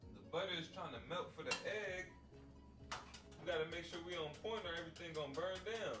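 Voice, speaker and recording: Clear music plays in the background. A man speaks at a high pitch. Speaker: home vlogger. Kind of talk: casual cooking vlog talk to camera. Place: kitchen. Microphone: camera far.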